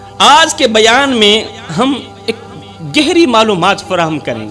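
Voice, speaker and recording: With music in the background, a man speaks in a raised, projected voice. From Pakistan. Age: 30s. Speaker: preacher. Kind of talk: sermon. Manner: impassioned.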